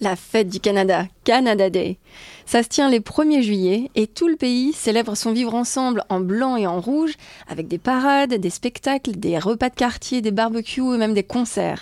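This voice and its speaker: A woman's fairly high voice at a moderate pace, dry and close with no echo, with ordinary pitch variation. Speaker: podcast co-host. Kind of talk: travel podcast hosting, partly scripted.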